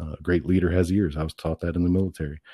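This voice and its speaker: A man with a Midwestern US accent speaks in a very deep, low pitch with a dark, mellow tone and monotone, flat intonation. The recording is very clean with a silent background and a dry, close sound with no echo. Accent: US Midwest. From central Illinois. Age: 40s. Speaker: political candidate. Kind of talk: interview.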